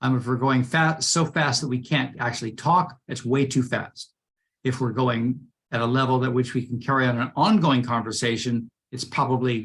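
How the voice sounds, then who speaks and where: A man speaks at a moderate pace and medium pitch, with fairly even intonation. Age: 60s. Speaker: running coach. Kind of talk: casual Q&A session. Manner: halting.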